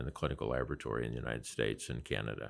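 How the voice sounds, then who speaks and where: With a Midwestern US accent and some vocal fry, a man speaks on a very clean recording with a silent background. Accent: US Midwest. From Nebraska. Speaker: physician and healthcare investor. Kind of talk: interview conversation.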